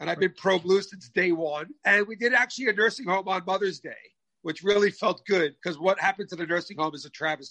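In an American accent, a high-pitched man talks at a very fast pace in an animated, bright, sharp tone, his raised, projected voice showing big swings in loudness and ordinary pitch variation. The sound is dry and close, with no echo. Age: 50s. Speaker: restaurateur. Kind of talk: interview.

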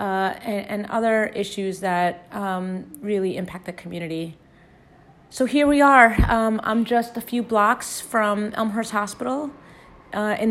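Moderately paced, this is an unremarkable speaking voice with ordinary pitch variation. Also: woman. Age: 40s. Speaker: political candidate and nonprofit leader. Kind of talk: recorded personal testimony.

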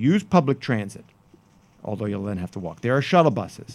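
Very wide pitch swings mark a man's speech at a moderate pace. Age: 50s. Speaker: podcast host and newspaper columnist. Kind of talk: casual chat. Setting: studio.

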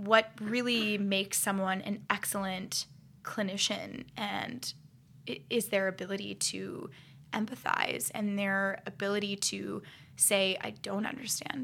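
A bright, sharp tone carries fairly even intonation at a fairly slow pace. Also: woman, medium pitch for a woman. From Ohio, US Midwest. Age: 20s. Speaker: dancer turned clinician. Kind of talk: casual chat.

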